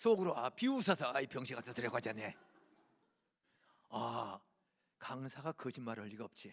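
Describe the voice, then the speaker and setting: A man's voice swings very widely in pitch. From Gyeonggi Province, South Korea. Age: 70s. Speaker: guest preacher. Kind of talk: sermon. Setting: church. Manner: animated, conversational.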